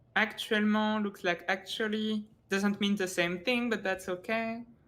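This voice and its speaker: A woman speaks with a French accent at a medium pitch and a fairly slow pace. Her intonation is fairly even, and the recording is very clean, with a silent background. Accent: French accent, lighter than before. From France. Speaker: esports tournament co-caster. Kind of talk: live-stream casting chat. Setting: live stream. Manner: halting, many restarts.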